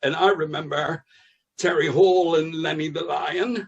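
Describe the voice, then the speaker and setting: A man with a West Country accent at a moderate pace. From West Country, England. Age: 60s. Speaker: comedian. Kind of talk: casual chat.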